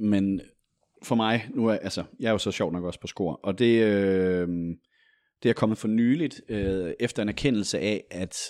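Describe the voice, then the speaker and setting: A man talks at a fairly slow pace in a fairly low pitch with ordinary pitch variation, on a very clean recording with a silent background. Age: 30s. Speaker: journalist. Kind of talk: casual chat.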